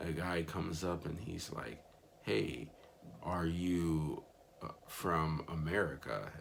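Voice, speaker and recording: A man with a very deep, low pitch speaks at a very slow pace, with audible room echo. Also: ordinary pitch variation. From Miami, Florida, US. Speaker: missionary vlogger. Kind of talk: casual vlog recap. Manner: casual with frequent fillers.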